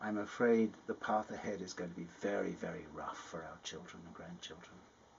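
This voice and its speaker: A man with an English accent, a fairly low pitch, ordinary pitch variation and a fairly quick pace. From England. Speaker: climate scientist. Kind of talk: personal testimony interview.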